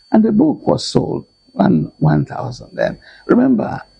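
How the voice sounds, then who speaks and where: A man speaks at a moderate pace. He has a Nigerian accent. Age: 80s+. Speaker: lecturer and author. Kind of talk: interview answer.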